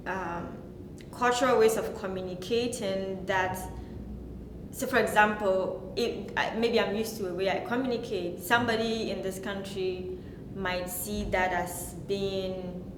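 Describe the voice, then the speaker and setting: Speaking with a Ghanaian accent, a woman talks at a fairly slow pace and medium pitch with fairly even intonation, amid audible room echo and noticeable background noise. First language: Ghanaian language. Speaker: postdoctoral researcher. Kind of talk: interview. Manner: halting.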